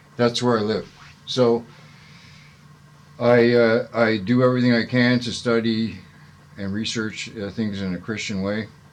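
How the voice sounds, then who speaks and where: A man speaks with a Canadian accent at medium pitch and a fairly slow pace. His intonation is monotone and flat, with long, frequent pauses. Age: 60s. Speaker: citizen journalist and protester. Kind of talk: casual monologue to camera. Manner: halting, many fillers.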